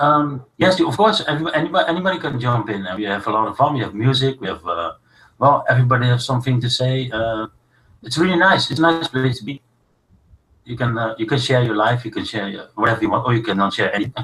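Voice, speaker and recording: A man in a Dutch accent, medium in pitch, bright and sharp in tone, with lively intonation at a very fast pace. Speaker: live stream host. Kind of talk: casual chat. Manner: halting.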